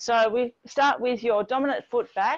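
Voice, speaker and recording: A high-pitched female voice over a quiet background. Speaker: fitness instructor. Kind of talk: workout class instruction. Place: garden.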